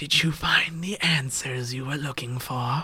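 A raspy man speaks in a put-on character voice at a moderate pace. His pitch sits at a medium level. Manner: lazy, sinister.

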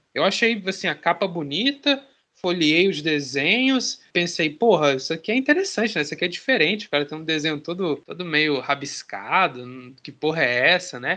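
Against a quiet background, a man with a high, bright, sharp voice speaks at a moderate pace with very wide pitch swings. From Maranhão, northeastern Brazil. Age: 30s. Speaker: comic artist. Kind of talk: interview.

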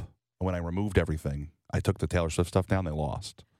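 An animated man with a very deep, low pitch and an American accent, in a dry, close sound with no echo. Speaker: podcast co-host. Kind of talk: casual chat. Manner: animated, talkative.

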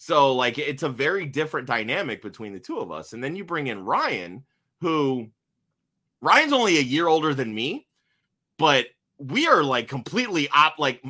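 A man speaks at a moderate pace with long, frequent pauses and big swings in loudness, his bright, sharp tone animated and edged with vocal fry. The recording is very clean, with a silent background. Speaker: fantasy football podcaster. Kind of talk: casual interview chat. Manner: loud, animated.

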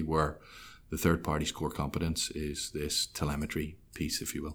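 On a very clean recording with a silent background, a man with an American accent talks at a moderate pace. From Ireland. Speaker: business development manager. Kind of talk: interview. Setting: studio. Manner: hesitant, many fillers.

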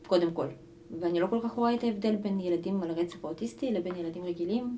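The woman's intonation is lively, and background noise is noticeable. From Israel, Ashkelon (immigrated at age 3). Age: 30s. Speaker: kindergarten aide and hostel counselor. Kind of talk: casual interview.

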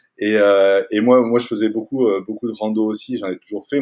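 Here a man speaks with a medium pitch at a moderate pace. His intonation stays fairly even. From France, Toulouse. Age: 40s. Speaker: outdoor gear company founder. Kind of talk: interview. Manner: halting, many fillers and repetitions.

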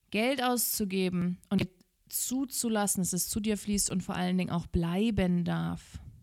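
Her tone is animated as a woman speaks at a fairly slow pace. Her pitch shows ordinary variation. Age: 30s. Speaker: podcast host and business coach. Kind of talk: motivational monologue.

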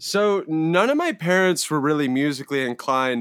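A man with an American accent and an unremarkable speaking voice talks at a moderate pace with lively intonation, in a very clean recording with a silent background and a dry, close sound with no echo. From US West Coast, Palo Alto, California. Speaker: musician. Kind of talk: casual chat.

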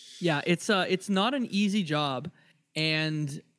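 A man speaks with a Canadian accent and a fairly high pitch. His pitch varies in an ordinary way, on a very clean recording with a silent background. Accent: Canadian, close to Detroit American. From Windsor, Ontario, Canada. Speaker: podcaster guest. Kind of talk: casual chat.

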